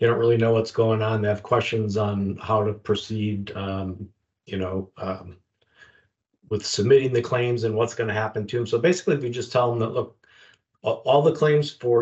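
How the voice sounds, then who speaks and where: At a moderate pace, a somewhat breathy man speaks with a medium pitch and ordinary pitch variation. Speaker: retired federal agent, investigations manager.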